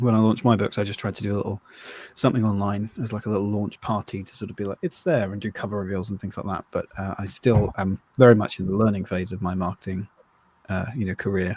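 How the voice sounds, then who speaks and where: A man's fairly low voice with an English accent, at a very fast pace with fairly even intonation and a dry, close sound with no echo. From England. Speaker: novelist and podcast co-host. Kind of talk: casual chat.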